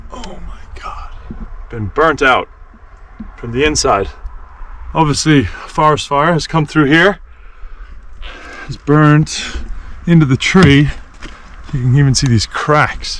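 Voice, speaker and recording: A man at a very slow pace, with big swings in loudness, long and frequent pauses, and noticeable background noise. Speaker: travel vlogger. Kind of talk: outdoor walking vlog. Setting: outdoors in a forest. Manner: excited exclamations.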